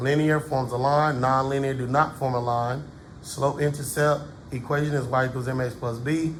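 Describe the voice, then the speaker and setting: A man speaks at a moderate pace and medium pitch in a flat monotone, with audible room echo. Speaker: math teacher. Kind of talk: tutorial. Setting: classroom. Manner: casual.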